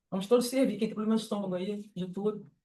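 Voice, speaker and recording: Talking at a very fast pace, a woman uses a fairly high voice with fairly even intonation. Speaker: spiritist lecturer. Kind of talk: lecture. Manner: casual, conversational.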